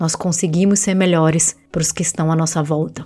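Her pitch fairly low, a woman talks at a moderate pace. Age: 30s. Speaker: podcast host on self-esteem. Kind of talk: solo podcast monologue. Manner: warm, conversational.

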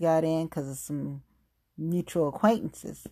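The recording is very clean, with silence in the background. A woman talks in a Southern US accent. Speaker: podcast host. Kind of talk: solo podcast monologue. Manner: informal, emotional.

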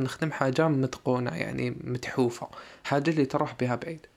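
At a moderate pace, a man speaks with ordinary pitch variation in a plain, everyday voice. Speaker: podcast host. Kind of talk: solo podcast monologue. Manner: casual code-switching.

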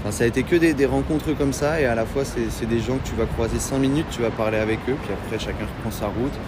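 A man's medium-pitched voice at a very fast pace with hardly any pauses, ordinary pitch variation, audible room echo, and noticeable background noise. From Normandy, France. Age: 20s. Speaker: long-distance hiker. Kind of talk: casual interview.

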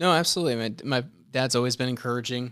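An ordinary speaking voice with an American accent, at a fairly quick pace with ordinary pitch variation, in a very clean recording with a silent background. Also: man. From US South, Gastonia, North Carolina (from age 11; early years Buffalo, New York). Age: 30s. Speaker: church member sharing faith story. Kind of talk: casual interview chat.

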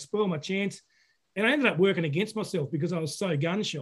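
In an Australian accent, a man with a high pitch talks at a very fast pace with ordinary pitch variation. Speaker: podcast host, fly fishing. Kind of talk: casual interview. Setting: video call.

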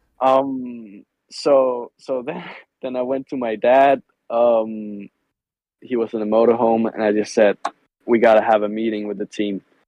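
A man at medium pitch speaks at a fairly slow pace. His intonation is monotone and flat, broken by long, frequent pauses. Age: 20s. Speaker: motorcycle racer. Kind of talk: casual chat. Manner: halting.

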